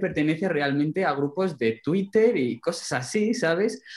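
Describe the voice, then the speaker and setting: A man with a plain, everyday voice talks at a fairly slow pace. His intonation is lively. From Alto Tajo, central Spain. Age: young. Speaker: rural development volunteer. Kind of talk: casual chat.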